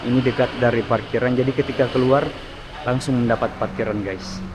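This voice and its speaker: Soft-spoken man at medium pitch and moderate pace, fairly even intonation, with audible room echo and noticeable background noise. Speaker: travel vlogger. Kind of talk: vlog walkthrough tour. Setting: mosque, on location. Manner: halting.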